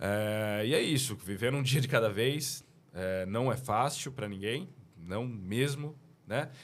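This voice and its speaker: A man at a very slow pace and medium pitch, ordinary pitch variation, audible room echo. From Brazil, São Paulo. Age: 30s. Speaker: business owner. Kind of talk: casual chat.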